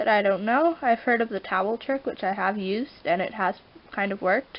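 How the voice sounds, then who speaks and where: A woman with an ordinary speaking voice, fairly high pitch, lively intonation, and a fairly quick pace. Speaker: pet vlogger. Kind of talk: tutorial. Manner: casual, rambling with self-corrections.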